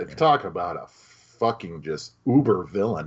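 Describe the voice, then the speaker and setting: Here is a man speaking. His pitch swings very widely. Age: 30s. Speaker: film podcast host. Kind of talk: casual chat. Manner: animated.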